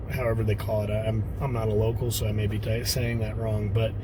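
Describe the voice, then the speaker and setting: A man with a Texan accent at a fairly quick pace, with audible room echo and noticeable background noise. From Texas. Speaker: off-road vlogger. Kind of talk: casual vlog talk to camera. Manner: hesitant, many fillers.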